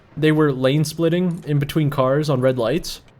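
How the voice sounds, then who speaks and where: This man's pitch varies in an ordinary way. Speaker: gaming youtuber. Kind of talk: casual gameplay commentary. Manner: animated.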